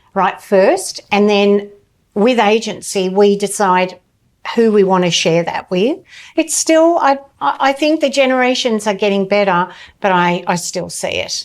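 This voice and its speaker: A woman speaks in a plain, everyday voice at a medium pitch. Her intonation is lively and her pace fairly slow. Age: 60s. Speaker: somatic therapist. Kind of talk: casual chat.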